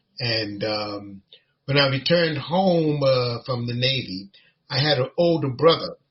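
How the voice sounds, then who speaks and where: A man with an American accent speaks at a fairly slow pace, his medium pitch showing ordinary variation. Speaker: imam. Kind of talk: personal life story in podcast interview. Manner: halting, many fillers.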